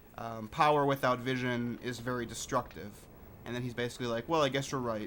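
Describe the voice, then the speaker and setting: A man talks at a fairly quick pace with medium pitch. His pitch varies in an ordinary way. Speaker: gaming lore video creator. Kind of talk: gameplay commentary. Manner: soft-spoken.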